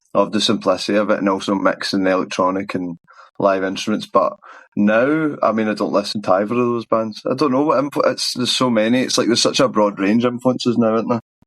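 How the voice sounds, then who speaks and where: Speaking very fast with a Glasgow accent, a man holds a medium pitch and ordinary pitch variation. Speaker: musician. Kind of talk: interview answer. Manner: casual.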